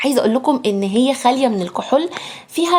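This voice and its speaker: A woman's voice, animated in tone. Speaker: beauty product influencer. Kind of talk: sales pitch. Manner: lowered voice.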